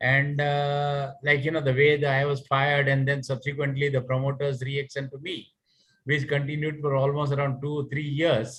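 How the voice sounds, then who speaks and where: The speaker is a man. He talks at a fairly high pitch. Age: 60s. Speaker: retired finance executive. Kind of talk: audience question. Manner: halting.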